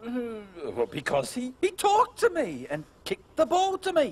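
A cartoonish character voice with very wide pitch swings and a slightly husky edge. It runs at a moderate pace.

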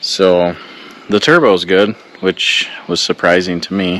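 The intonation stays fairly even as this man talks. There is no echo, and the sound is dry. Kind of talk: casual vlog chat. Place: open country. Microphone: phone near.

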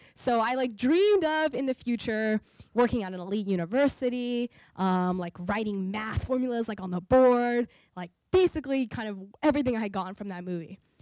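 A woman with a normal speaking voice, fairly high pitch, lively intonation and big swings in loudness, in a dry sound with no echo over a quiet background. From US South, New Orleans, Louisiana; Louisiana. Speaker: entrepreneur and inventor; guest. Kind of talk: public talk. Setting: stage with audience. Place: hall. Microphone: handheld.

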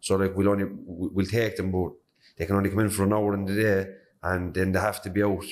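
With a Cork accent, a man speaks at a fairly quick pace. His fairly low voice has monotone, flat intonation. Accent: Cork Irish. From Cork, Ireland (north side); Ireland. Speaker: podcast host. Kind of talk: interview. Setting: prison. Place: classroom. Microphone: handheld.

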